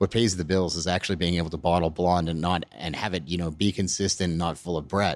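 A man with a Canadian accent speaks at a very fast pace in a very deep, low pitch with ordinary pitch variation. The recording is very clean, with a silent background. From Alberta, Canada. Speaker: brewery owner and head brewer. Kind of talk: interview. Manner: halting, with many fillers.

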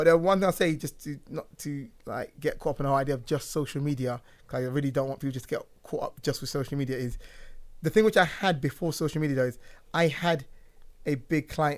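A man with a London accent, fairly high pitch and ordinary pitch variation, at a very fast pace, on a very clean recording with a silent background. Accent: London English (Multicultural London English). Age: 30s. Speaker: barber. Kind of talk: casual chat. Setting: studio.

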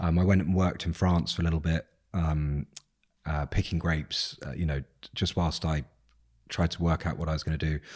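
On a very clean recording with a silent background, a man with a southern English accent and very deep, low pitch talks at a fairly quick pace in a monotone, flat intonation, leaving long, frequent pauses. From England, South Coast. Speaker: business owner and investor. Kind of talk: casual chat. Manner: hesitant, many fillers.

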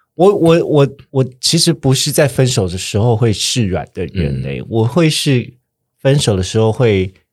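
Very wide pitch swings run through this man's speech at medium pitch. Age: 30s. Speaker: podcast host. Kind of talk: casual chat.

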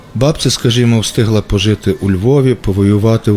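Amid noticeable background noise, a man with a fairly low pitch talks at a moderate pace with ordinary pitch variation. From western Ukraine, Ivano-Frankivsk. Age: 40s. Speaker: writer. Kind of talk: scripted narration.

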